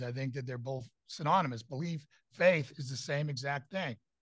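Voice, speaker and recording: At a moderate pace, a man with a fairly high pitch sounds somewhat breathy, and his pitch varies in an ordinary way. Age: 50s. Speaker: pastor and security consultant. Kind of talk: debate-style interview. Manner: halting with fillers.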